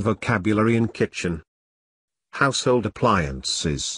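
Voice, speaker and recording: A man with a British accent speaks at a fairly slow pace and fairly low pitch, with vocal fry and lively intonation. The sound is dry and close with no echo, and the background is quiet. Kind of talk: vocabulary word list pronunciation for learners.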